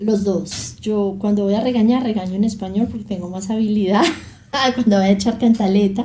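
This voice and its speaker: A woman speaks at a medium pitch and moderate pace with fairly even intonation. Audible room echo and noticeable background noise come through. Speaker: journalist and documentary maker. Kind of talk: interview.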